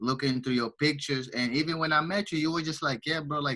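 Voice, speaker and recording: With a Portuguese accent, a man speaks in a bright, sharp tone with ordinary pitch variation. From Angola. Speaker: entrepreneur and finance student. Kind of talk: casual interview.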